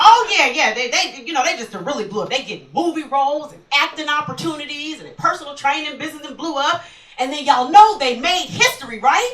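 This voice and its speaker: Speaking in a high pitch at a fairly quick pace with hardly any pauses, a woman shows very wide pitch swings and big swings in loudness over noticeable background noise. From Texas, Houston. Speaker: stand-up comedian. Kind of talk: stand-up. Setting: stage with audience.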